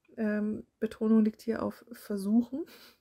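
A woman's dark, mellow voice, dry and close with no echo, in a very clean recording with a silent background. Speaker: audiobook narrator. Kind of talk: casual intro to listeners.

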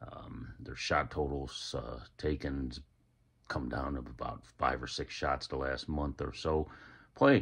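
A voice with vocal fry speaks at a very slow pace in a flat, monotone delivery over a quiet background. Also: man, very deep, low pitch for a man. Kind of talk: sports betting pick announcement. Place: home room. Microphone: phone near.

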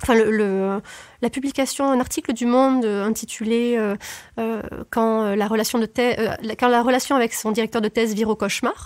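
In a very clean recording with a silent background, a woman speaks with a fairly high pitch and flat, monotone intonation. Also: moderate pace. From southern France. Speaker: former researcher. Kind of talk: interview. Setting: studio.

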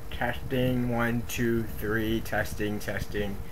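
A man's speech is joined by noticeable background noise. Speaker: video diarist. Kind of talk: video diary, reading notes to camera. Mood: irritated, dismissive. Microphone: webcam.

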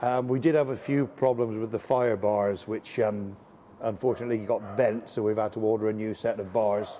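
Noticeable background noise runs under a man's medium-pitched voice. He speaks at a moderate pace with fairly even intonation. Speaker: steam locomotive volunteer. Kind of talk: casual interview.

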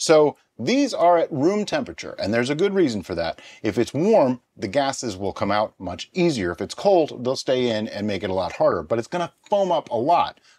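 This man talks at a fairly quick pace with hardly any pauses. His pitch swings very widely. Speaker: home brewer host. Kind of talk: tutorial. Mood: cheerful, joking. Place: home room.

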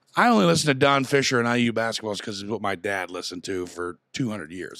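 Against a quiet background, a man speaks in a normal speaking voice with a fairly low pitch. His intonation is lively, and the sound is dry with no echo. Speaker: podcast host. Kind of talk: casual podcast chat. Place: studio. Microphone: studio mic.

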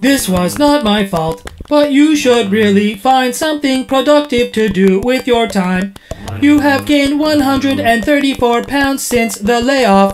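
A female-sounding voice puts on a high-pitched character voice at a fairly slow pace. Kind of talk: comic sketch acting. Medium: comedy sketch. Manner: prim, scolding, matter-of-fact.

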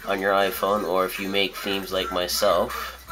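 A man talks with faint music in the background. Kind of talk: tutorial. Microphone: phone near.

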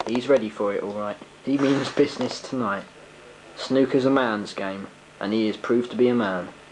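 Against noticeable background noise, a man at a medium pitch speaks at a moderate pace in an excited, serious tone. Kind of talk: sports commentary. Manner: hushed, excited play-by-play, mock-serious and theatrical.

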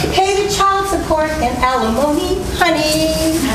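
With loud background noise and audible room echo, a woman speaks at a very slow pace. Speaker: stage actor. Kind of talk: musical theatre song performance. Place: stage. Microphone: camera far.

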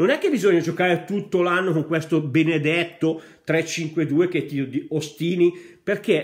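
Against a quiet background, a man speaks at a very slow pace. His voice is fairly high. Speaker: Inter fan vlogger. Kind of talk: angry football rant. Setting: home video monologue. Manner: passionate, scolding, emphatic; direct, addresses coach and fans. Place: home room. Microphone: earbuds.

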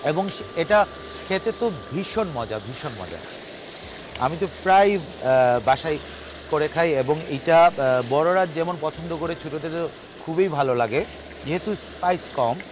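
A man is speaking, and the sound is dry with no echo. Noticeable background noise is present. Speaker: TV cooking show host. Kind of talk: tutorial. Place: garden.

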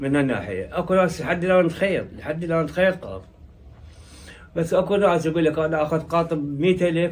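With a Diyala accent, a man speaks at a moderate pace and with ordinary pitch variation. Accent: Iraqi Arabic, Diyala dialect. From Diyala, Iraq. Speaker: tailor. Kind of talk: interview answer. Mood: nostalgic, proud. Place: shop.

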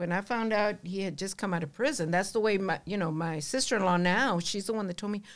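A woman at a fairly quick pace with ordinary pitch variation, over a quiet background. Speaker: podcast guest. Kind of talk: interview answer. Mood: warm, animated, sometimes laughing. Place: studio. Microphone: studio mic.

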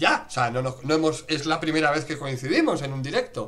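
Faint music sits in the background. A man talks over it at a fairly quick pace. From Spain, Madrid. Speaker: livestream host. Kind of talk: casual interview chat. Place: home room. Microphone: webcam.

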